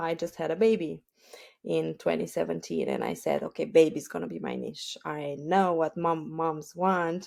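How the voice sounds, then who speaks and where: With a Romanian accent, a woman speaks at a moderate pace on a very clean recording with a silent background. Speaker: e-commerce entrepreneur. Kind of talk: podcast interview. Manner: halting, many fillers.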